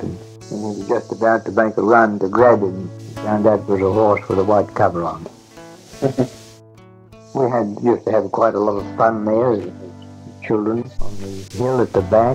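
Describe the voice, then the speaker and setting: A man with a fairly low pitch speaks in fairly even intonation, leaving long, frequent pauses. His loudness swings widely, and music plays in the background. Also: moderate pace. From Nelson, New Zealand. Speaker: retired bush worker and bullock driver. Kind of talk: oral history reminiscence.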